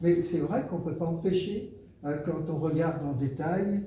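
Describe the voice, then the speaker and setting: A man talks at a high pitch with ordinary pitch variation. Both audible room echo and noticeable background noise can be heard. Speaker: association member giving talk. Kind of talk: group discussion.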